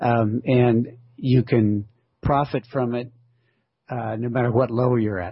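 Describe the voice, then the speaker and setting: The speaker is a man with a plain, everyday voice. His delivery comes at a fairly slow pace. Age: 60s. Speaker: author and ultramarathon runner. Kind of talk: interview conversation. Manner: relaxed, frequent fillers.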